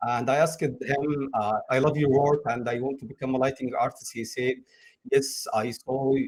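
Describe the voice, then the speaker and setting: Here a man speaks at a moderate pace and a medium pitch. His voice is somewhat breathy. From Egypt. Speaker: game lighting artist. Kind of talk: interview. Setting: live stream. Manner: halting, with frequent uh fillers.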